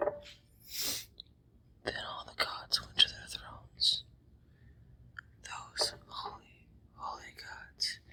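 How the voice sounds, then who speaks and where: Everything here is whispered. The pace is very slow. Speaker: ASMR creator. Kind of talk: ASMR reading of a mythological poem. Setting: outdoors.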